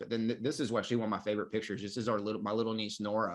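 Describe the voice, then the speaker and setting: Loud and very fast, a man with a bright, sharp tone and fairly low pitch speaks against a quiet background. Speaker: marketing coach for life coaches. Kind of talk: online course lecture. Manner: loud and energetic; filler-heavy, halting.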